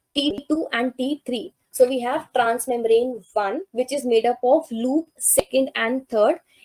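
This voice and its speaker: With hardly any pauses, a woman speaks fairly slowly at a high pitch with ordinary pitch variation, in a dry, close sound with no echo. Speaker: life sciences exam tutor. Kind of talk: lecture.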